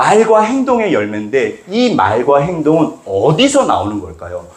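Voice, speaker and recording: A man talks in an animated tone at a fairly slow pace. Audible room echo surrounds his voice. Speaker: pastor. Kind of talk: sermon.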